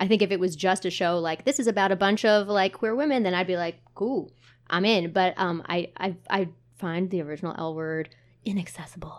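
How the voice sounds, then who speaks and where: In a normal speaking voice with an American accent, a woman talks at a fairly quick pace and medium pitch with ordinary pitch variation. The recording is very clean, with a silent background. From New Jersey (Montclair). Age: 20s. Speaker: theater marketing manager. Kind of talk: casual chat.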